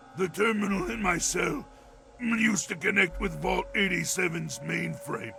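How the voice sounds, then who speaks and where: A man does a raspy put-on character voice at a moderate pace over clear music in the background. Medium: video game. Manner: articulate, measured, erudite.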